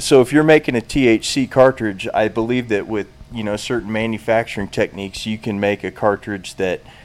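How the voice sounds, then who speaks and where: Using a normal speaking voice, this man keeps to a medium pitch and shows ordinary pitch variation. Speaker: brand founder. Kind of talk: casual interview chat.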